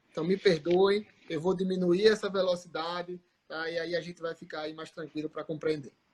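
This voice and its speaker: A high-pitched man talks in a monotone, flat intonation while his loudness swings widely. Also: moderate pace. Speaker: orthodontist, guest lecturer. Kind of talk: live online lecture chat.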